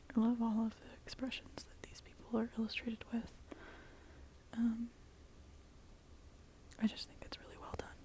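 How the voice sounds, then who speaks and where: Someone whispers with long, frequent pauses. Noticeable background noise sits under the voice. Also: moderate pace. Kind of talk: ASMR tarot show and tell, casual talk to camera. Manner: soft-spoken, whispered, up close.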